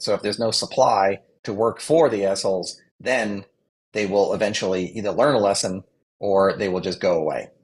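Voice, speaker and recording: A plain, everyday voice from a man with an American accent, fairly low in pitch with ordinary pitch variation, at a moderate pace over a quiet background. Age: 60s. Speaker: communications adviser. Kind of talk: interview.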